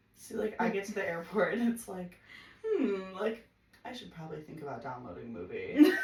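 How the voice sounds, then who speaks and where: A woman's animated, medium-pitched voice at a fairly quick pace, with very wide pitch swings, big swings in loudness and audible room echo. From US Midwest, Chicago suburbs. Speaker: podcast guest. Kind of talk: casual chat. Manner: fast.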